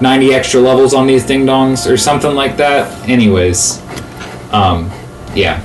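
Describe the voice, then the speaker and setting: A man speaks at a medium pitch and a moderate pace, with ordinary pitch variation and very even loudness. Audible room echo and noticeable background noise surround him. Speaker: gaming YouTuber. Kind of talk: gameplay commentary. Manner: halting, many filler ums; improvised rambling.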